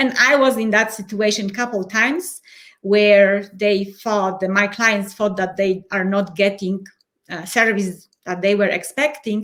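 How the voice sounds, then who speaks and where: In a Polish accent, a woman talks fairly slowly with a fairly high pitch. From Poland. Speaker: change and transition coach. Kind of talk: interview.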